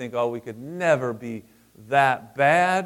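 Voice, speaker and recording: With lively intonation, a man talks in a fairly high pitch. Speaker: pastor. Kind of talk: sermon.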